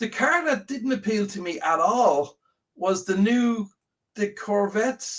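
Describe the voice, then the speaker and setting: A high-pitched man with an Irish accent, at a fairly slow pace with lively intonation. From Ireland. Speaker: slot car show co-host. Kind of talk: casual chat. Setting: live stream.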